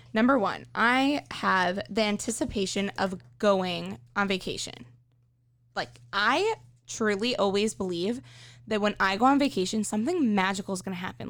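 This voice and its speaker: A woman has a plain, everyday voice with a fairly high pitch. Her intonation is lively. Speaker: intern. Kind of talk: casual podcast chat.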